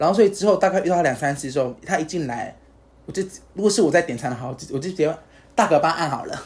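The speech runs at a very fast pace. Its pitch variation is ordinary. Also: man, high pitch for a man. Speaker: podcast co-host. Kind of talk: casual chat.

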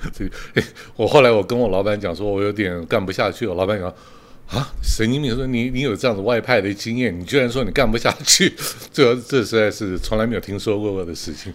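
A man's fairly low voice, a plain, everyday voice, at a fairly quick pace with ordinary pitch variation. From Taiwan. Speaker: retired executive turned street performer. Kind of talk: interview.

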